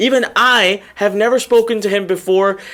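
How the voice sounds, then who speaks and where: In a raised, projected voice with an animated tone, someone speaks at a moderate pace over noticeable background noise. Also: man. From Indian descent. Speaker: webinar host and online marketer. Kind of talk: live webinar interview. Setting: live online webinar.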